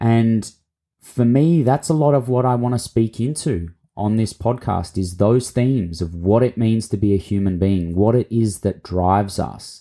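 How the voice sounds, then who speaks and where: At a moderate pace and medium pitch, a man speaks with a dark, mellow tone, ordinary pitch variation and very even loudness. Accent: Australian. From Australia. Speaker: podcast host and mentor. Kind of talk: solo podcast monologue, reintroduction.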